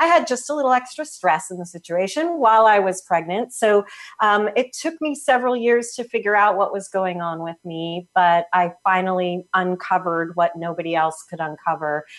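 With a normal speaking voice, a woman talks at a moderate pace and medium pitch, her intonation lively and hardly any pauses between words. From US Northeast (New Jersey). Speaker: health practitioner. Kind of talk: interview.

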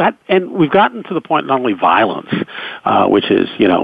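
Here a man has an unremarkable speaking voice. He talks at a fairly quick pace with lively intonation. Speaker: radio news anchor and author. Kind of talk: interview.

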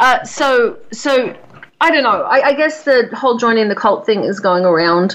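A woman speaks in an Australian accent at a high pitch, with very wide pitch swings. Her pace is moderate and her loudness very even. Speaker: radio host. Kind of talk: casual chat.

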